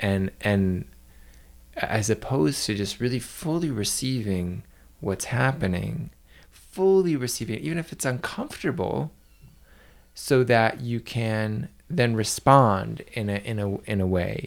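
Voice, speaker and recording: Intonation stays lively as the man speaks. His pace is fairly slow. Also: medium pitch for a man. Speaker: podcast co-host. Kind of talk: casual podcast conversation.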